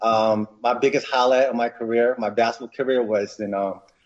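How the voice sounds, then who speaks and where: Speaking with an American accent, a man keeps a moderate pace at medium pitch. His is an unremarkable speaking voice. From New York, Westchester County. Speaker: inventor entrepreneur. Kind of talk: interview.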